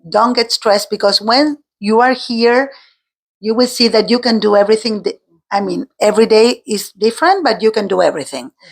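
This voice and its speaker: Someone with an Argentine accent talks at a fairly quick pace with ordinary pitch variation. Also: woman, fairly high pitch for a woman. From Argentina. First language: Spanish. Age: 50s. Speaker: teacher. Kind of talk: interview. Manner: halting.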